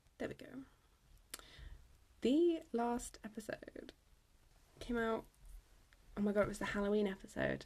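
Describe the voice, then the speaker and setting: Soft-spoken and fairly high-pitched, a woman talks with big swings in loudness and long, frequent pauses. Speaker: podcast host. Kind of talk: casual chat. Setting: at home.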